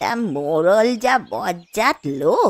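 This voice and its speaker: A woman speaks very slowly in a cartoonish character voice with a medium pitch and very wide pitch swings. The sound is dry and close, with no echo. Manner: homely, affectionate.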